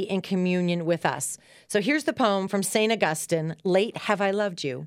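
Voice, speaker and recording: Recorded very cleanly over a silent background, a woman talks at medium pitch in a plain, everyday voice. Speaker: devotional host. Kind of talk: reverent poem reading, prayerful and measured. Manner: slow, hushed, contemplative delivery; warm, encouraging.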